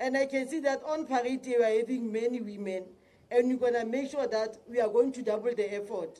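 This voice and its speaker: A woman's high voice with a dark, mellow tone at a fairly quick pace. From South Africa. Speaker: provincial police commissioner. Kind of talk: public speech. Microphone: podium.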